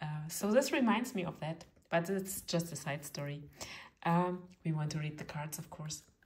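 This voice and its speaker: Somewhat breathy and fairly low in pitch, a woman talks with long, frequent pauses and big swings in loudness. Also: ordinary pitch variation, moderate pace. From eastern Germany. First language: German. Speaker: tarot reader. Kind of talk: tutorial; casual chat. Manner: halting, many fillers.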